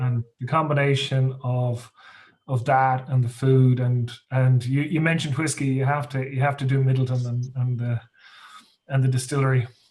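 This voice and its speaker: A man speaks at a moderate pace with a western Irish accent, his medium-pitched voice flat and monotone. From west of Ireland. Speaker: workshop participant. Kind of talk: casual chat. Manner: halting, repeats words.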